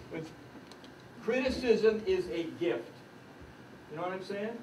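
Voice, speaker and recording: Audible room echo and noticeable background noise around a voice with ordinary pitch variation. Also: man. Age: 70s. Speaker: retired judge and coach. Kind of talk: workshop talk. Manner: animated.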